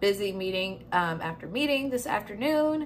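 Speaking at a moderate pace, a woman uses lively intonation. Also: fairly bright tone.

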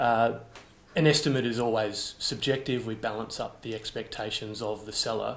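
A man talks with an Australian accent. Audible room echo surrounds his voice. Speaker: auction house managing director and auctioneer. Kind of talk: auction house presentation of an artwork lot. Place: office.

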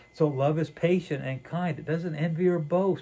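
A man speaks with a dark, mellow tone. His pitch variation is ordinary.

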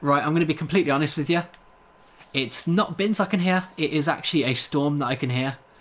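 A man's fairly high voice with an English accent, ordinary pitch variation and a fairly quick pace. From England. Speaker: gaming livestreamer. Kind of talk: live gameplay commentary and chat with viewers. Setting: indoors, home livestream. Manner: laughs often, hesitant with many fillers.

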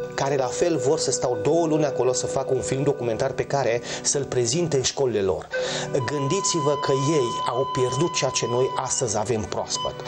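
Clear music plays in the background. The speech has a moderate pace and ordinary pitch variation. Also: man. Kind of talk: interview answer. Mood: animated, proud storytelling. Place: workshop.

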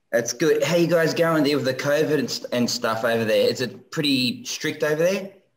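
With an Australian accent, a man talks at a fairly quick pace with hardly any pauses. His fairly high voice has lively intonation. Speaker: viewer calling in; guest. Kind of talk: casual chat. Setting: video call. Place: home room.

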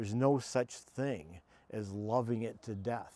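The voice carries an American accent with ordinary pitch variation. Its tone is dark and mellow, and the sound is dry with no echo. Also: man. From United States. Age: 70s. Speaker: trail runner; interview guest. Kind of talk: interview answer. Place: garden. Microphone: lapel.

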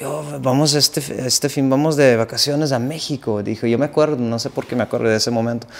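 A man with a Dutch accent, a fairly high pitch and fairly even intonation, at a moderate pace. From Netherlands. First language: Dutch (speaking Spanish). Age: 30s. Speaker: accordion musician; guest. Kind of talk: casual interview. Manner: halting, repeats words. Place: home room.

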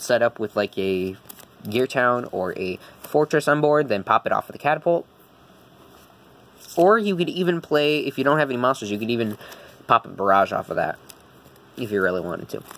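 A man speaks fairly quickly, his pitch swinging very widely. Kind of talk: tutorial. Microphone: phone near.

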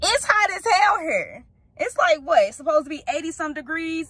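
A woman speaks in a raised, projected voice, and the sound is dry with no echo. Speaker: parent vlogger. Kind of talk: casual vlog chat. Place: car. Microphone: phone near.

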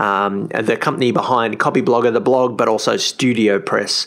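With an Australian accent and ordinary pitch variation, a man talks at medium pitch over noticeable background noise. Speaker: podcast host and blogger. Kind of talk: casual interview chat. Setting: remote call.

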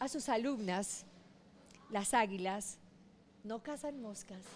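A woman's lively intonation at a fairly slow pace, with music in the background. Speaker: business founder. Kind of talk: interview.

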